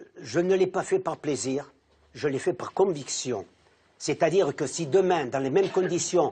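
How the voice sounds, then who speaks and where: With a fairly high pitch for a man yet a dark, mellow tone, this speaker talks at a fairly slow pace with lively intonation. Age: 80s+. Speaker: war veteran. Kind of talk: testimony. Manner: halting.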